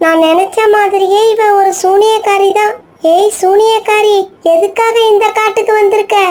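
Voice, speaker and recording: In a cartoonish character voice, a woman talks at a fairly slow pace with an extremely high pitch and a monotone, flat intonation. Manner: brave, earnest.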